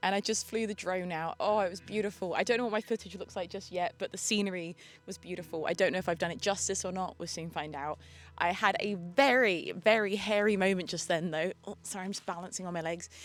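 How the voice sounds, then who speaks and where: Speaking at a very fast pace, a woman with a British accent keeps her intonation fairly even. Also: medium pitch for a woman. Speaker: vlogger. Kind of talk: vlog. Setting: outdoors.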